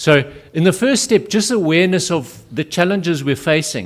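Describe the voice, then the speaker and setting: A man with a South African accent, lively intonation and a moderate pace. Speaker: conference speaker. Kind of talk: lecture.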